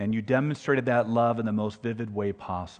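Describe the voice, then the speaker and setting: The clip has an unremarkable speaking voice. Its intonation is fairly even. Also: man. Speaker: prayer leader. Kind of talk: prayer. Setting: church.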